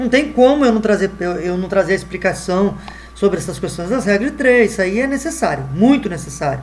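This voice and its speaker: A man's high-pitched voice rises and falls with lively intonation amid noticeable background noise. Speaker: math teacher. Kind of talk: online lesson. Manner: halting, many fillers.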